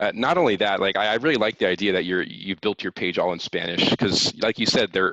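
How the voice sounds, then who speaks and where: A man has an unremarkable speaking voice, fairly low in pitch. He moves at a fairly quick pace, with a dry, close sound and no echo. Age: 20s. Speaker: stock investor and influencer. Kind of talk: interview.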